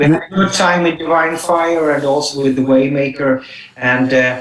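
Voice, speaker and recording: With noticeable background noise behind it, a voice in a Swedish accent holds very even loudness and fairly even intonation at a moderate pace. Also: man, fairly high pitch for a man. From southern Sweden. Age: 50s. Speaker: rock singer. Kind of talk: radio interview. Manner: halting.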